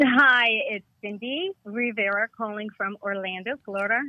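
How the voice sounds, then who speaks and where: A woman has a normal speaking voice with an American accent and a fairly high pitch. She speaks at a moderate pace with ordinary pitch variation. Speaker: caller. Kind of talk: casual chat. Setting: phone call.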